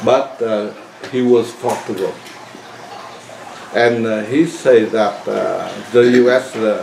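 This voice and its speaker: A man speaks at a very slow pace in a medium pitch with fairly even intonation, leaving long, frequent pauses over noticeable background noise. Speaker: interpreter.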